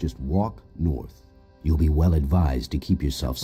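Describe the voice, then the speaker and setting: A man growls in a put-on character voice with a very deep, low pitch. He keeps a moderate pace while faint music plays behind him. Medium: video game. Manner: gruff.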